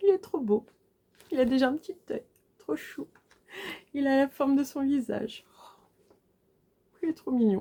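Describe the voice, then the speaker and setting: In a dry, close sound with no echo, a woman with a high pitch and a dark, mellow tone uses lively intonation at a fairly slow pace with long, frequent pauses. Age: 40s. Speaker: cross-stitch vlogger. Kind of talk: casual video chat. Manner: animated.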